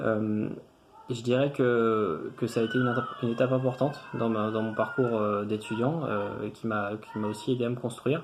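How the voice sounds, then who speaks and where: Over noticeable background noise, a man speaks at a medium pitch with fairly even intonation and a moderate pace. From France, Tours area. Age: 30s. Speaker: engineer, former student. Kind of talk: testimonial interview. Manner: hesitant, many fillers and repetitions.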